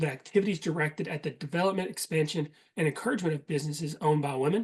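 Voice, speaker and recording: In a Southern US accent, a man talks at a very fast pace. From Eastern Kentucky. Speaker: certification manager leading a workshop. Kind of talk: presentation. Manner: casual with frequent fillers.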